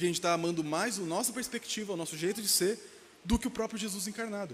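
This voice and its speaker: Over noticeable background noise, a man talks at a very fast pace. His pitch is high, with ordinary variation. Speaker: pastor. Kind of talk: sermon. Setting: church. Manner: fast, slurred speech.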